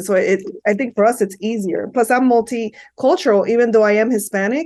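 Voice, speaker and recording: Intonation stays fairly level throughout. A woman talks at a moderate pace. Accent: Miami. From Miami, Florida (Hialeah). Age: 50s. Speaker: psychotherapist. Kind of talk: interview.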